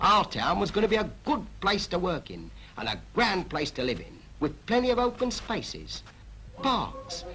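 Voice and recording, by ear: In a cartoonish character voice, a man swings very widely in pitch, high for a man, with a bright, sharp tone at a moderate pace.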